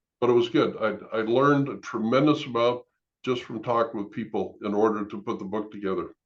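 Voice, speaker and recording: A man with a plain, everyday voice talks at a fairly quick pace with fairly even intonation. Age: 60s. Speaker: former pastor, author and end-of-life planning consultant. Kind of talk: interview.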